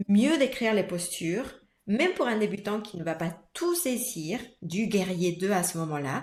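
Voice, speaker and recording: A woman's voice at medium pitch with ordinary pitch variation. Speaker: yoga teacher. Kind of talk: casual podcast conversation. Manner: animated, with frequent repetitions and fillers.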